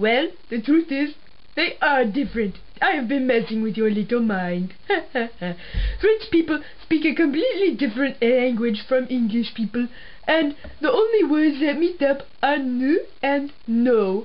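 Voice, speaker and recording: A female-sounding voice does a put-on character voice against clear background noise. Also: moderate pace. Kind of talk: comedy sketch, mock language lesson.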